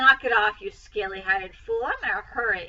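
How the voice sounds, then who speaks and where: A woman's high, hoarse, put-on character voice at a moderate pace. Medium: read story.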